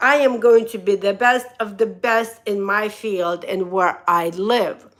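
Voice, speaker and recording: A woman with a Russian accent speaks at medium pitch in a bright, sharp tone. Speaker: motivational speaker and hairdresser. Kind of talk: live stream motivational talk. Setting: live stream. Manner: animated.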